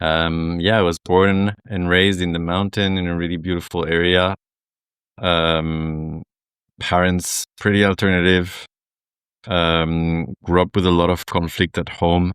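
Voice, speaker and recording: A man speaks at a fairly slow pace with a French accent, his very deep, low pitch held in a flat monotone. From southern France. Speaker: men's group facilitator. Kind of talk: casual chat.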